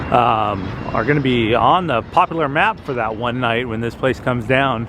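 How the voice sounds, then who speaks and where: A man speaks at a medium pitch while noticeable background noise runs behind him. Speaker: travel vlogger. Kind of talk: walking vlog narration. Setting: outdoors.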